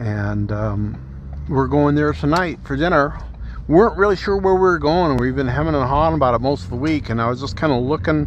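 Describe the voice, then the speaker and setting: Through audible room echo and noticeable background noise, a man's voice comes across. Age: 60s. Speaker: podcaster. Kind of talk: casual monologue. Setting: in a car. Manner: halting. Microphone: phone with cabled microphone.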